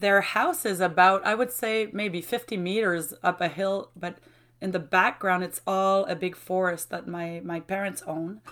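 A woman speaks in a cheerful tone with a French accent at a fairly slow pace. Her pitch is medium, with ordinary pitch variation. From Quebec, Mauricie. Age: 40s. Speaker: university lecturer. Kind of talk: casual interview. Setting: video call. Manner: laughs often, cheerful.

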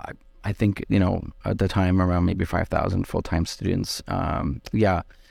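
A man talks at a moderate pace with a Canadian accent. His pitch is very deep and low, and his intonation fairly even. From Quebec, Outaouais (West Quebec). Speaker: nonprofit executive director. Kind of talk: interview.

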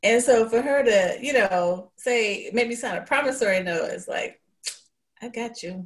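Using a normal speaking voice, a woman speaks at a fairly slow pace in a fairly high pitch with ordinary pitch variation and big swings in loudness. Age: 60s. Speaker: guest panelist. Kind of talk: casual group chat. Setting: video call.

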